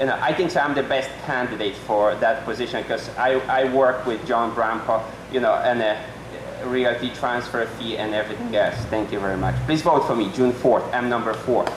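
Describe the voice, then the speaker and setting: With a non-native accent, a man of medium pitch speaks at a moderate pace and fairly even intonation, amid noticeable background noise and audible room echo. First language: not English. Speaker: political candidate, accountant. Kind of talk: debate opening statement. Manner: halting.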